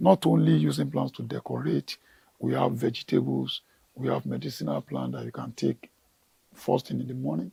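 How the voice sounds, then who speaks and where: The man's voice is very deep and low, dark and mellow, with vocal fry and ordinary pitch variation. He keeps a moderate pace, and the sound is dry and close with no echo. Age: 60s. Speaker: gardener. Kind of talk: TV interview.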